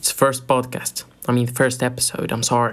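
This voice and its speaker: A man with an American accent speaks at medium pitch. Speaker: podcast host. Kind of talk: casual podcast talk.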